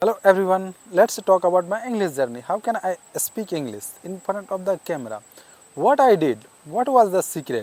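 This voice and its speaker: A man with a non-native accent speaks at a moderate pace. His pitch is high and swings very widely. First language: not English. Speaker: English learner vlogger. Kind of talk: casual talk to camera. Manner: halting.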